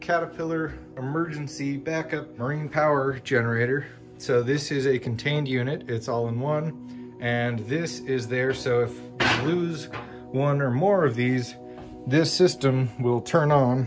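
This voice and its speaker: Over clear music in the background, a man speaks at a fairly slow pace with fairly even intonation. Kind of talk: tour guide explanation. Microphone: phone near.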